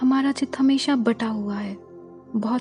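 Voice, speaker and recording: With music in the background, a woman speaks in a calm tone with fairly even intonation. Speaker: meditation guide. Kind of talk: guided meditation. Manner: slow, calm.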